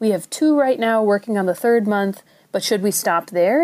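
In a very clean recording with a silent background, a woman with a Minnesotan accent speaks at a medium pitch and moderate pace in a dark, mellow tone. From Minnesota, US. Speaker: caller. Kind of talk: recorded listener question.

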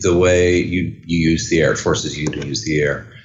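A man with a very deep, low pitch, in a room with audible echo. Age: 40s. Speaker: orchestral clarinetist. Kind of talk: interview. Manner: halting.

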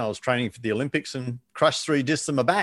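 A quiet background and an Australian accent. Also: man. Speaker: sales coach and author. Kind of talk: interview.

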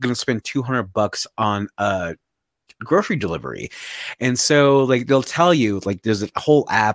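Using an unremarkable speaking voice, a man talks at a moderate pace with lively intonation, the sound dry and close with no echo. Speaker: podcast co-host. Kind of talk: casual chat. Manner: rambling, casual.

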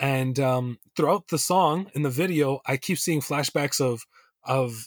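On a very clean recording with a silent background and a dry, close sound with no echo, a man speaks in an unremarkable speaking voice, fairly high in pitch, with ordinary pitch variation. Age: 20s. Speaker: poet and hip-hop artist, teacher. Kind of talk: casual interview chat.

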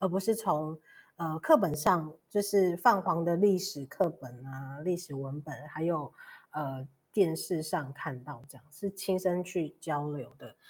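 In a very clean recording with a silent background, a woman speaks at a very slow pace in a fairly low pitch, with ordinary pitch variation and big swings in loudness. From Taiwan, Pingtung (Paiwan). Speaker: podcast host. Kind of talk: interview conversation.

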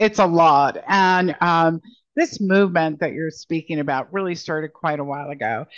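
With a plain, everyday voice, a woman speaks at a fairly low pitch and a moderate pace, with ordinary pitch variation against a quiet background. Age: 60s. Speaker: founder and president of a financial advisory firm. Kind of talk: interview.

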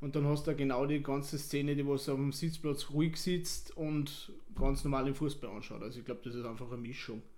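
Audible room echo around a man's fairly high voice. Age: 30s. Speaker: football club board member. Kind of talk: casual interview. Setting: stadium.

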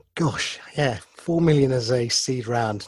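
A man with a somewhat breathy voice. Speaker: radio host. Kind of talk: radio interview. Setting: radio studio.

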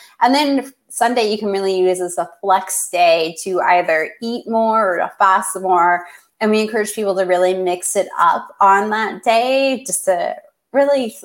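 A woman with a Canadian accent has an ordinary speaking voice, talking fairly slowly at a medium pitch with ordinary pitch variation. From Canada. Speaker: clinical researcher and fasting educator. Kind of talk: interview.

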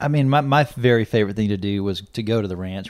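A man with an American accent speaks at a very fast pace and fairly low pitch. The recording is very clean, with a silent background. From Texas, Corpus Christi. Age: 30s. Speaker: rancher and father. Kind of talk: casual chat.

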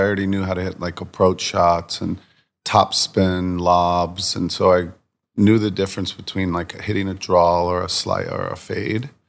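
Monotone and flat, a man speaks with a very deep, low pitch and an American accent at a moderate pace. The recording is very clean with a silent background. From Virginia Beach, Virginia, US. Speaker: designer and apparel brand founder. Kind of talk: casual interview chat.

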